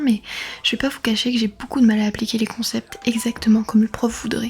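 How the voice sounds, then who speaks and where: Noticeable background noise sits behind the recording. A woman talks at a fairly quick pace in a fairly high pitch. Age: 20s. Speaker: university communication student. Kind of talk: vlog narration.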